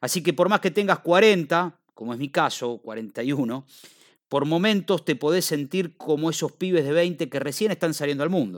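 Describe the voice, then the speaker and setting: In a very clean recording with a silent background and a dry, close sound with no echo, a man speaks at a fairly high pitch and a fairly slow pace. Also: ordinary pitch variation. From Argentina. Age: 40s. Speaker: podcaster. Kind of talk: personal monologue.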